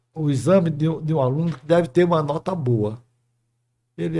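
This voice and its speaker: The man speaks at a moderate pace, somewhat breathy, with a fairly high pitch. His tone is dark and mellow, with ordinary pitch variation. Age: 80s+. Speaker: retired dentistry professor. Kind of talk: interview storytelling.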